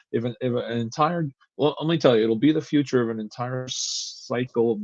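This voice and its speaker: A man speaks with fairly even intonation in a dry, close sound with no echo. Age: 60s. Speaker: comic book writer. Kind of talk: interview. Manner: halting, many repeated words.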